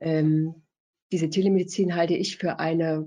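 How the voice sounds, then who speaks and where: At a fairly slow pace, a woman speaks in a fairly low pitch with a dark, mellow tone. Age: 50s. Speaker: family doctor. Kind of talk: interview.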